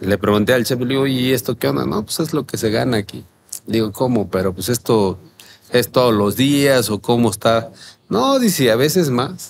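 A man's medium-pitched voice with lively intonation over light background noise. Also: moderate pace. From Mexico, Guerrero coast. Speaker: chef and restaurant owner. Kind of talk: interview, casual chat. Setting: outdoor terrace. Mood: relaxed storytelling with quoted dialogue. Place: cafe. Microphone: studio mic.

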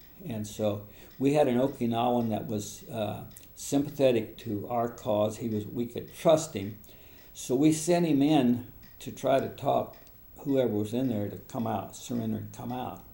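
His tone is dark and mellow, touched by vocal fry, at a medium pitch. The man keeps a moderate pace and ordinary pitch variation. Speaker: war veteran. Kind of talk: interview answer.

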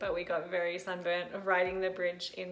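A woman speaks at a moderate pace. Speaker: travel vlogger. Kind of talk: casual vlog chat. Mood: happy, enthusiastic. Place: home room. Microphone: phone near.

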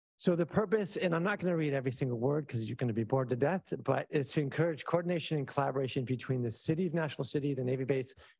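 A man with a somewhat breathy voice, medium pitch, ordinary pitch variation, and a very fast pace. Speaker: planning consultant. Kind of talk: presentation at public meeting. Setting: in-person meeting room.

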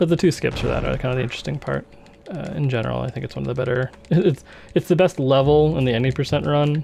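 The speech runs at a very fast pace with ordinary pitch variation against noticeable background noise. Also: man, medium pitch for a man. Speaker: speedrunner. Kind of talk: casual gameplay commentary.

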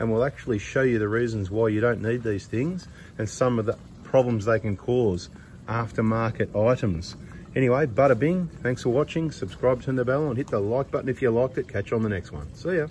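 Light background noise sits behind a man speaking at a fairly quick pace. His voice is somewhat breathy. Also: ordinary pitch variation. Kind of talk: casual commentary. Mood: joking, mildly annoyed. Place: workshop. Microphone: phone near.

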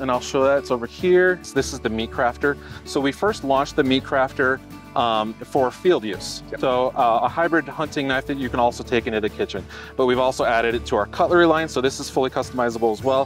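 A man talks at a very fast pace with ordinary pitch variation, clear music playing behind him, and a dry sound with no echo. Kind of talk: product explanation in interview. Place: street. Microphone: camera far.

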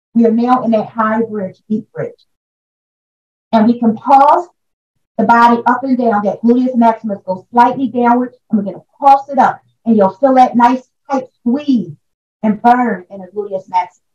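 This woman has an ordinary speaking voice, pitched fairly high with ordinary pitch variation. She keeps a moderate pace, with big swings in loudness. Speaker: yoga instructor. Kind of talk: guided yoga class instruction, counting breaths through poses. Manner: urgent rhythmic coaching during the bridge hold, repeating squeeze, squeeze.

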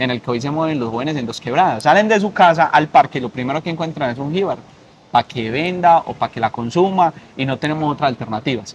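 Over light background noise, someone speaks at a very fast pace with ordinary pitch variation. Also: man. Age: 20s. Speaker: political candidate; candidate. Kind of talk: interview; interview answer. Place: garden. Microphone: lapel.

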